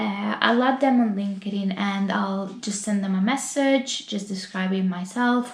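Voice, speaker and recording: Noticeable background noise and audible room echo surround a woman with an Italian accent. Her medium pitch has ordinary variation, and her pace is fairly slow. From Italy. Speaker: YouTuber and UX designer. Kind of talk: casual vlog talk to camera. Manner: hesitant, many fillers.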